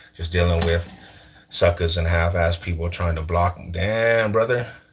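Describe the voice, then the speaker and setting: Here a man with an American accent speaks at a moderate pace. His pitch is very deep and low. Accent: sounds Californian to viewers. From US West, East Side Denver. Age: 40s. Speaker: streamer. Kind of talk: casual chat. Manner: animated.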